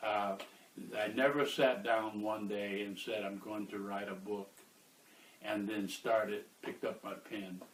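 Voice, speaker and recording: Speaking at a fairly slow pace, a man with an American accent holds a monotone, flat intonation. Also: fairly low pitch for a man. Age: 70s. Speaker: author and activist. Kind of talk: interview. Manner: halting, many filler uhs.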